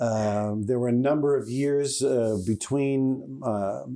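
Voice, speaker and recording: A man's dark, mellow tone at medium pitch, fairly even in intonation, with a New York accent. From New York City, the Bronx. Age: 70s. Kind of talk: interview. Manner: halting, many fillers.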